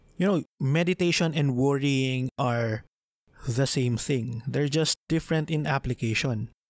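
A man with a Filipino accent speaks fairly slowly at a fairly high pitch with ordinary pitch variation, in a very clean, dry, close recording with no echo and a silent background. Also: very even loudness. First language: Tagalog. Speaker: podcast host. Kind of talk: solo podcast monologue, Taglish.

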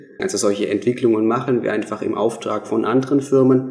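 A man talks rather briskly while clear background noise carries on around him. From southern Germany, Swabia. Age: 20s. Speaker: app developer, business owner. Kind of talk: radio interview. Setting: radio studio.

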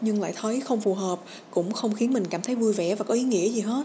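A woman speaks at a very fast pace with a somewhat breathy, dark, mellow tone, a fairly high pitch and fairly even intonation. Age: 20s. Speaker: podcast host. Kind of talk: personal reflection podcast.

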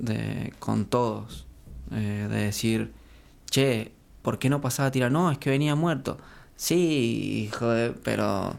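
Speaking at a very slow pace, the man leaves long, frequent pauses. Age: 20s. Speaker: elite triathlete. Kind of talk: casual interview.

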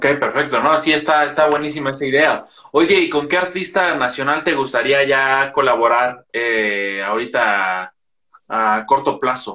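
Here is a man with a fairly high pitch and a bright, sharp tone. He talks at a fairly slow pace, with ordinary pitch variation. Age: young. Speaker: podcast host. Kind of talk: casual interview.

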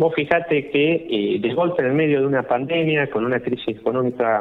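The man's voice sits at a medium pitch, with a moderate pace and ordinary pitch variation. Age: 40s. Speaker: political candidate. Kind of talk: radio interview. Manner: halting, many fillers.

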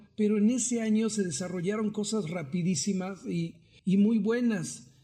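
A man's dark, mellow voice at a fairly slow pace, with audible room echo. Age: 40s. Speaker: circus performer. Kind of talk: interview.

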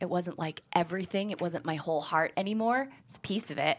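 Speaking at a fairly quick pace in a plain, everyday voice, this speaker uses ordinary pitch variation on a very clean recording with a silent background. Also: woman. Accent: American. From Syracuse, upstate New York. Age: 30s. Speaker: screenwriter. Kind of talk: casual interview chat. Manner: laughs often.

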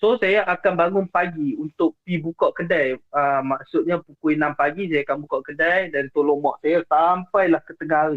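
A man speaks at a moderate pace with a high pitch, ordinary pitch variation, very even loudness and hardly any pauses. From Penang, Malaysia. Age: 20s. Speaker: caller sharing ghost stories. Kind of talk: storytelling on a call-in show. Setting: remote call into the show. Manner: halting, many fillers.

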